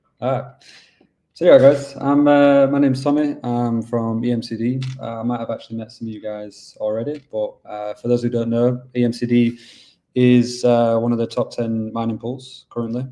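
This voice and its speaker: With a Yorkshire accent, a man speaks at a moderate pace in a dark, mellow tone of medium pitch, his intonation flat and monotone. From England, Yorkshire. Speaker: business development manager at a mining pool. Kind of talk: webinar presentation. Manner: casual, filler-heavy.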